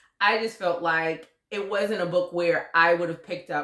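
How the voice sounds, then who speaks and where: A woman's fairly low, animated voice at a moderate pace, with ordinary pitch variation. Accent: Southern US. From US South. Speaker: book youtuber. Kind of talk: casual chat.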